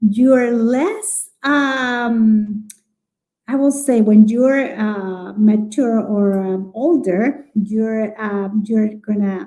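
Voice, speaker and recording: A woman with a strong Chilean accent speaks very slowly. Her fairly high voice shows ordinary pitch variation. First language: Spanish. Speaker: early childhood educator. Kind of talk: live webinar conversation. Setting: live online broadcast. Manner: halting, with many fillers.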